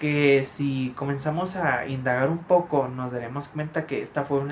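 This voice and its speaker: A man's voice sits fairly high and sounds somewhat breathy. His intonation stays fairly even. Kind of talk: casual talk to camera. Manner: stammering, many filler words.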